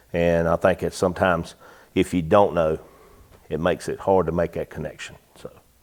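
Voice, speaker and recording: A quiet man's very deep, low voice in a monotone, flat delivery. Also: fairly quick pace. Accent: North Carolina. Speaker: auto repair business owner. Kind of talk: interview. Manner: halting.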